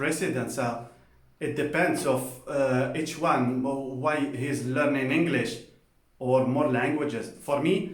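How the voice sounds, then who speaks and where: A man's fairly high voice at a very slow pace with fairly even intonation, amid noticeable background noise and audible room echo. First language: Spanish. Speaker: polyglot language vlogger. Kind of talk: casual personal talk to camera. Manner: halting with many fillers; informal, colloquial.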